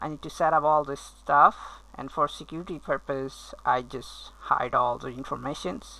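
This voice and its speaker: A woman speaking at a fairly slow pace. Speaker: software company owner demoing app. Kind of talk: tutorial. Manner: hesitant, many fillers.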